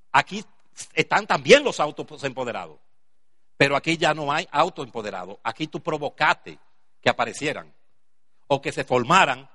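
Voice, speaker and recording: This man has a bright, sharp tone, vocal fry and a fairly high pitch. His intonation is lively and his pace moderate. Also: long, frequent pauses. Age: 60s. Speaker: business seminar speaker. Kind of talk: motivational talk.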